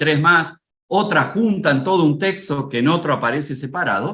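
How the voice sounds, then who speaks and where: A man's fairly high pitch and lively intonation at a moderate pace in a plain, everyday voice. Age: 60s. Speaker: preacher and homiletics teacher. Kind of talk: lecture.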